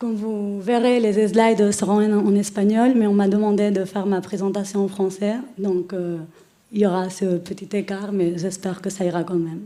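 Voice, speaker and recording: With a Spanish accent, a woman speaks at medium pitch and a moderate pace in a dark, mellow tone, her intonation flat and monotone, with audible room echo. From Spain. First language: Spanish (speaking French). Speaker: lawyer. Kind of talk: conference presentation. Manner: hesitant, many filler sounds.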